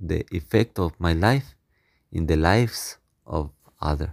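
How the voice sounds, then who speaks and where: With a Spanish accent, a man speaks at a fairly slow pace in a very deep, low voice with ordinary pitch variation, the sound dry and close with no echo in a very clean recording against a silent background. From Mexico. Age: young. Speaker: missionary priest. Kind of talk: interview.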